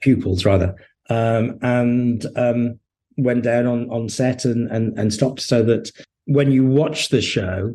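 The man's voice has a dark, mellow tone. It carries a somewhat breathy quality. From English Midlands, Hednesford, Staffordshire. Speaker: TV and novel writer, former journalist. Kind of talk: interview conversation. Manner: hesitant, many fillers and repetitions.

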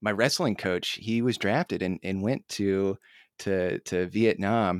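With a Midwestern American accent, a man talks at a fairly slow pace in a fairly low pitch and monotone, flat intonation, in a very clean recording with a silent background and a dry, close sound with no echo. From US Midwest, northern Indiana. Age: 30s. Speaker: podcast host. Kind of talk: interview. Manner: halting.

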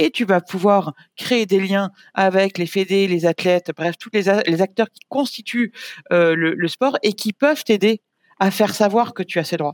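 A woman's normal speaking voice at medium pitch and a fairly slow pace, with ordinary pitch variation and big swings in loudness. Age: 40s. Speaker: sports media executive. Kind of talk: casual chat.

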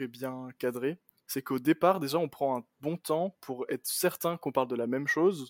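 Recorded with a dry, close sound with no echo, a man with a normal speaking voice and fairly high pitch speaks at a moderate pace with fairly even intonation. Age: 20s. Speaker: computer science student. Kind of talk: casual chat.

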